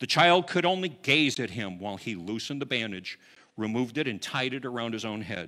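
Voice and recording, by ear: Someone is reading aloud in a natural voice. The intonation is lively.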